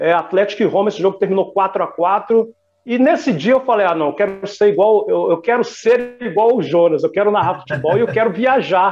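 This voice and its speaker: In a Minas Gerais accent, the speaker moves at a fairly quick pace with ordinary pitch variation and hardly any pauses. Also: man, high pitch for a man. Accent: Minas Gerais Brazilian Portuguese. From Belo Horizonte, Minas Gerais, Brazil. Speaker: sports radio announcer. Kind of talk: interview.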